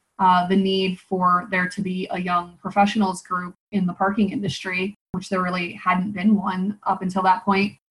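A somewhat breathy woman's voice, medium in pitch, flat and monotone, at a moderate pace with hardly any pauses. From Nebraska, US Midwest. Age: 30s. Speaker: marketing consultant. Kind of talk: interview.

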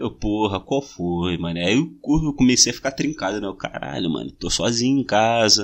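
With lively intonation, a man speaks at a moderate pace in a fairly low voice. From Brazil, Rio de Janeiro (Bangu). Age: 20s. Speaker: podcast host. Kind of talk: casual chat.

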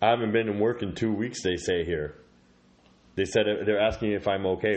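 A man with a plain, everyday voice, fairly low in pitch, with fairly even intonation. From Canada. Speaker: podcast host. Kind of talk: casual comedic chat.

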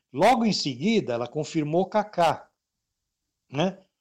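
A man's high-pitched voice with lively intonation, at a moderate pace. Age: 60s. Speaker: sports radio presenter. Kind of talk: casual interview chat.

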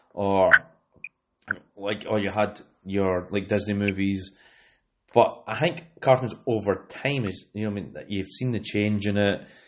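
With long, frequent pauses, a man talks at a fairly slow pace. His pitch is fairly low and his intonation fairly even. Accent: Scottish. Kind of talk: casual chat.

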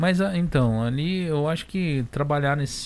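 Here a man talks at a moderate pace with ordinary pitch variation. He has an unremarkable speaking voice. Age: 40s. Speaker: podcast co-host. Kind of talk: casual interview chat.

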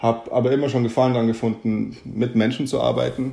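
Medium-pitched male voice, dark and mellow in tone, with fairly even intonation at a moderate pace. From Germany, Munich. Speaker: physiotherapist and doctoral student. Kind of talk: interview.

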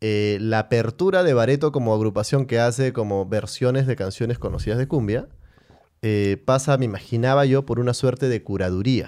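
A man's medium-pitched voice, dark and mellow in tone, at a moderate pace with ordinary pitch variation. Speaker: podcast host. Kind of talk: casual chat.

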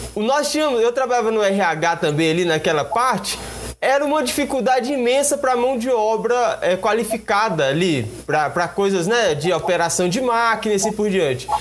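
Man's high-pitched voice with lively intonation, very even loudness and a moderate pace, over noticeable background noise. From Brazil, Goiás (Luziânia). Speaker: web radio host. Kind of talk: live interview. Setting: live stream studio.

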